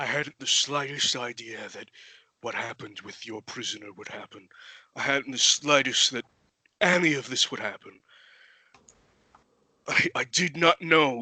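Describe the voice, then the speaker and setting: Using a put-on character voice of fairly high pitch, a man talks at a moderate pace with long, frequent pauses. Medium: actual play. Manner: formal, deferential.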